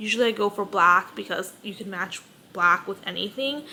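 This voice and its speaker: A woman's voice, with ordinary pitch variation, comes through noticeable background noise. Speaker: lifestyle vlogger. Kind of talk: casual vlog monologue. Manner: halting, stumbles over words.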